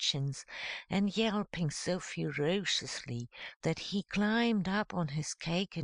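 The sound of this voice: Reading in an unforced voice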